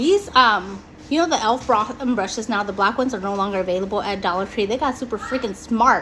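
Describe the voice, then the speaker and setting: Over noticeable background noise, a woman with an American accent speaks at a moderate pace in an animated tone with lively intonation. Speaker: beauty vlogger. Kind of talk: casual live-stream chat.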